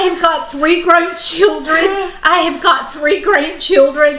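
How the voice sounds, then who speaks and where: A woman with an extremely high voice speaks in a raised, projected, animated way with lively intonation, over noticeable background noise and audible room echo. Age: 60s. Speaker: knitting channel co-host. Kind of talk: casual chat.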